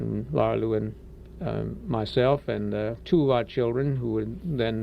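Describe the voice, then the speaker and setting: A man with a slight Cajun accent at a fairly slow pace. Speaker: radio station manager. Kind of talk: interview. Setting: radio studio. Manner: hesitant, many filler words.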